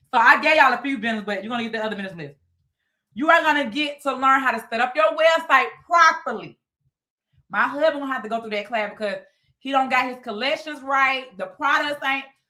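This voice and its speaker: Raised and projected, a woman's high-pitched voice has a bright, sharp tone, an animated delivery, ordinary pitch variation, big swings in loudness, and a very fast pace. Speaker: business coach. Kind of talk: live webinar sales pitch. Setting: livestream with Zoom participants.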